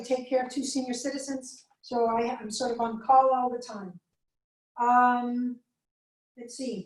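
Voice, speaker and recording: A high-pitched woman's voice with a slight Spanish accent. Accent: slight Spanish accent on some words. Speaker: chemistry lecturer. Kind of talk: lecture. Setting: video call recording, alone in room. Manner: fast.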